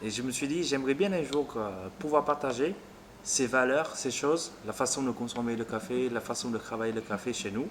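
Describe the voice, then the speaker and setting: At a moderate pace, a man's medium-pitched voice carries the speech. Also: ordinary pitch variation. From Vietnam. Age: 30s. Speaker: café owner. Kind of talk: interview. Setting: in a café. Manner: hesitant.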